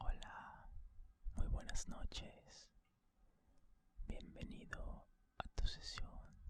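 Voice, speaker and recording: A man whispers at a very slow pace, leaving long, frequent pauses. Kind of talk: ASMR relaxation session for sleep. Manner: whispered, soft-spoken, slow.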